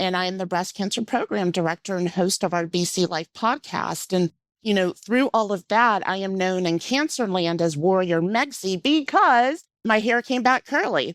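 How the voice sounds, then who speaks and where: A woman's medium-pitched voice with a slight Southern US accent and lively intonation at a moderate pace, in a dry, close sound with no echo and a very clean recording with a silent background. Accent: slight Southern twang. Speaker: cancer patient advocate. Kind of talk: interview.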